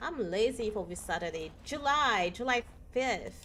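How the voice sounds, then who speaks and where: Lively intonation from a woman at a fairly high pitch, with noticeable background noise. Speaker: gaming streamer. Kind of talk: live gameplay stream chat. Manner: soft-spoken; trails off quieter when talking long.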